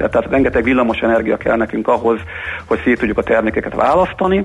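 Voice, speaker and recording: The voice belongs to a man. Its pitch falls in the medium range. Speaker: industrial gas company director. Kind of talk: radio interview. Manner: formal, explanatory.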